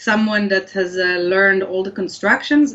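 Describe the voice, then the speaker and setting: Fairly quick in pace, a woman speaks with an Israeli accent. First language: Hebrew. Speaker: language scientist. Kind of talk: interview. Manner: hesitant with fillers.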